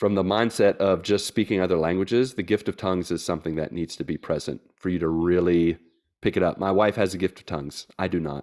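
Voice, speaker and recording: A man with an Appalachian accent, very deep and low in pitch, fairly even in intonation and very fast in pace, on a very clean, dry, close recording with no echo and a silent background. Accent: Appalachian American. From West Virginia, US. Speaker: missionary. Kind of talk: casual interview chat.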